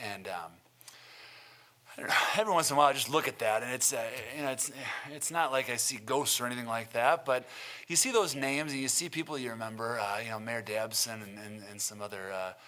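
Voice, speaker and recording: A man with an Upper Midwest accent talks at a very fast pace, leaving long, frequent pauses, with ordinary pitch variation and noticeable background noise. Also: medium pitch for a man. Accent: Upper Midwest American. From Milton, Wisconsin, US Midwest. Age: 30s. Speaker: city council candidate. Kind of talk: candidate forum statement. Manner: hesitant, many fillers.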